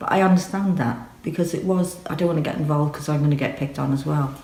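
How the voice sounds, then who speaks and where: Over noticeable background noise, a woman talks very fast in a very deep, low voice with ordinary pitch variation. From Northern Ireland. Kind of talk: personal testimony to camera.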